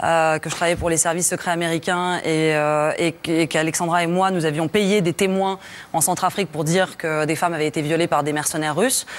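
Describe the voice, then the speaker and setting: In a fairly low pitch, a woman talks with a monotone, flat intonation. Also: fairly quick pace. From France. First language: Russian (speaking French). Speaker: journalist, documentary maker. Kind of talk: tv studio interview. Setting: tv studio. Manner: halting, many hesitations.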